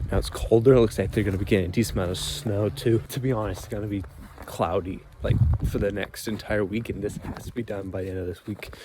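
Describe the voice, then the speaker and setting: Over noticeable background noise, a man with fairly low pitch speaks at a very fast pace with ordinary pitch variation. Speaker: drone pilot YouTuber. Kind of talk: outdoor vlog narration. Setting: outdoors in winter, partly in car. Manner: soft-spoken.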